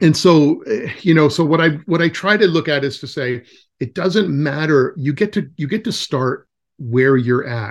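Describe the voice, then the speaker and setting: This man has an ordinary speaking voice, fairly high in pitch, with an American accent and lively intonation. He talks at a moderate pace over a quiet background. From California. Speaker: wilderness educator. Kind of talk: casual chat.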